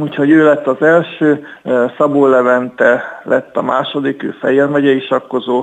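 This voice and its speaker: This man has an ordinary speaking voice with a fairly high pitch, fairly even intonation and a fairly slow pace. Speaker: chess club section leader and player. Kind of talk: radio interview. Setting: phone call.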